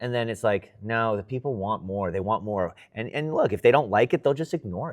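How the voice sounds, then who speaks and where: Over a quiet background, a man with an American accent talks at medium pitch with ordinary pitch variation, big swings in loudness and hardly any pauses. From Los Angeles, US West Coast. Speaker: sports reporter. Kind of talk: interview. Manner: casual, halting with repeats.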